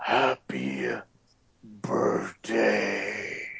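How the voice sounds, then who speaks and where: A man performs a put-on character voice with a very deep, low pitch and a raspy edge. His pitch swings very widely. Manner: creepy, unsettling.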